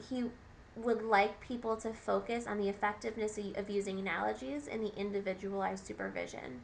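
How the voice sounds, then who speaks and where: The pace stays moderate. The speaker is a woman. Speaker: graduate counseling student. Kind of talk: class presentation. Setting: recorded on webcam at computer. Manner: halting, many fillers and restarts.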